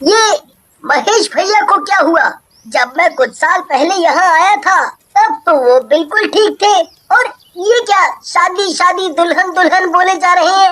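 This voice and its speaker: A woman does a cartoonish character voice at an extremely high pitch, her intonation lively and her loudness very even. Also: moderate pace. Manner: earnest.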